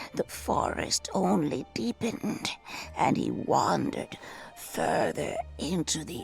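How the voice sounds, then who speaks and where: A put-on character voice speaks at a fairly slow pace over clear music in the background. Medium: game stream. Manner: slow, storytelling.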